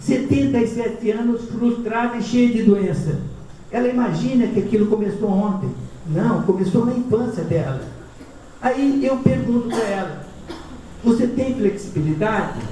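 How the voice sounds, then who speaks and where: A high-pitched man speaking at a fairly slow pace, with long, frequent pauses, audible room echo and noticeable background noise. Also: ordinary pitch variation. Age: 60s. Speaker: physician giving talks. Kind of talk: lecture. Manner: conversational, informal.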